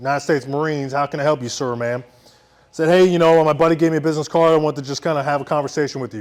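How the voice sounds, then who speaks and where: With music in the background, a man with a Philadelphia accent speaks at a fairly high pitch in an animated tone. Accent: Philadelphia American English. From Philadelphia, US. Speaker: military veteran storyteller. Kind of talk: live storytelling.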